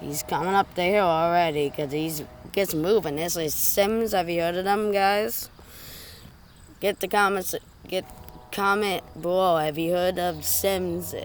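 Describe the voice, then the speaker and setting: Quiet speech at a fairly slow pace. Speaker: train-spotting video maker. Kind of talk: live on-location commentary. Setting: outdoors by railway.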